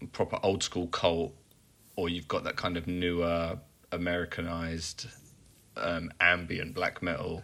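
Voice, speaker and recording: A man's very deep, low voice at a fairly slow pace, broken by long, frequent pauses. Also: fairly even intonation. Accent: English. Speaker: metal podcast co-host. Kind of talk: casual chat.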